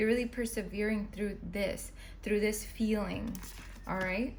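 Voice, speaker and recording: A woman's voice comes with audible room echo and noticeable background noise. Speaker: tarot reader. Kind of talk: tarot reading monologue. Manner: fast.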